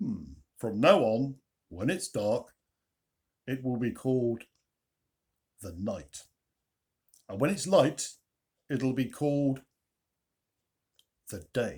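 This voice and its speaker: In a put-on character voice, a man booms at a medium pitch with a warm tone, very wide pitch swings, a very slow pace and long, frequent pauses. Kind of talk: bedtime story. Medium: read story. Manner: warm and pleased, like Father Christmas.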